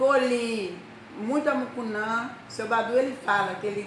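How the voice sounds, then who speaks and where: A woman talks at a fairly slow pace with ordinary pitch variation. Noticeable background noise and audible room echo fill the recording. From Brazil, rural Bahia. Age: 60s. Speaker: storyteller. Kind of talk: personal life story.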